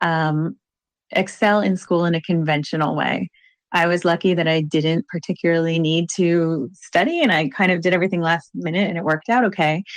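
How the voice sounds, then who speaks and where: Using an ordinary speaking voice, a woman with an American accent talks at a fairly quick pace and a fairly low pitch, with very even loudness and fairly even intonation. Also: quiet background. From Virginia, US. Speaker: ADHD coach. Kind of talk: interview.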